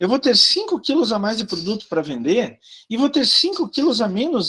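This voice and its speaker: Speaking at a moderate pace, a man uses an extremely high pitch with very wide pitch swings. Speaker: university professor. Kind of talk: lecture.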